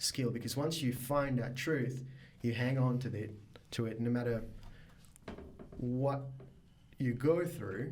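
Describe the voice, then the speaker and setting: With audible room echo around him, a man speaks at a very slow pace and medium pitch, somewhat breathy, with long, frequent pauses. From Mauritius. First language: Mauritian Creole or French. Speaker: biotech startup founder. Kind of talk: podcast interview. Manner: hesitant, many fillers.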